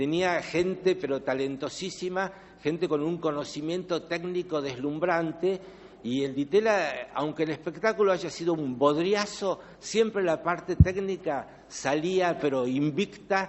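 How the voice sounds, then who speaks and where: A man's voice, high for a man, at a fairly slow pace with ordinary pitch variation. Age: 70s. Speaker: author and theatre artist. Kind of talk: book launch speech. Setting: live event with audience. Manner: hesitant, many fillers.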